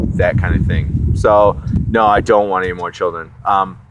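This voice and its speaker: A man with a fairly low voice speaks at a moderate pace. Noticeable background noise runs underneath. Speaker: vlogger answering viewer questions. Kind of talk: casual Q&A vlog. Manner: monotone; hesitant, many fillers.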